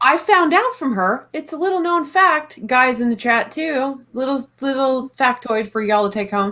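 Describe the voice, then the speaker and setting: Projecting her high-pitched voice with a bright, sharp tone and a Texas accent, a woman speaks at a moderate pace with lively intonation and hardly any pauses. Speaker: live stream panel host. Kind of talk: casual chat.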